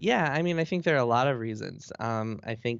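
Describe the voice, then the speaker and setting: A man with an ordinary speaking voice at a medium pitch. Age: 30s. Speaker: games journalist. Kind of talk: interview.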